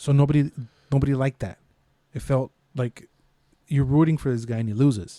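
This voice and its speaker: A man speaks at a fairly quick clip in a medium pitch with a dark, mellow tone and ordinary pitch variation, leaving long, frequent pauses, his sound dry and close with no echo. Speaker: podcast host. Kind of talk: casual podcast conversation.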